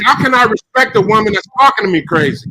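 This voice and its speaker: A man speaks in a raised, projected voice with a high pitch. The sound is dry and close, with no echo. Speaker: speaker in an online audio room. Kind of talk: heated debate. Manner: loud.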